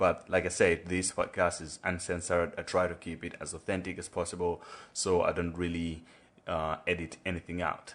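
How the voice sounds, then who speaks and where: In a monotone, flat delivery, a man with a very deep, low pitch talks at a moderate pace against a quiet background. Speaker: podcast host. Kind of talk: podcast intro monologue; casual chat. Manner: hesitant, many fillers.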